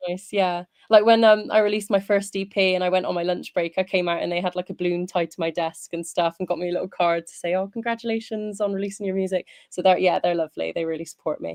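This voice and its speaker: Delivered at a very fast pace with a strong Bristolian accent, the speech is monotone and flat, with big swings in loudness and a dry, close sound with no echo. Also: woman, medium pitch for a woman. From England, Bristol. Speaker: singer. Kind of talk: casual interview.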